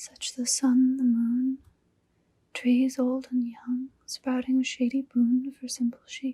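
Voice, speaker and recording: The speaker whispers in a soft-spoken way. The pace is very slow. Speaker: ASMR creator reading poetry. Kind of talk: poetry reading. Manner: whispered, soft-spoken.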